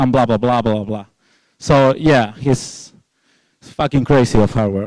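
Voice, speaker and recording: Someone with a Spanish accent speaks at a fairly slow pace with ordinary pitch variation on a very clean recording with a silent background. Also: man. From Spain. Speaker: security researcher, conference speaker. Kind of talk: conference talk. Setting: stage with audience. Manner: informal, halting with fillers.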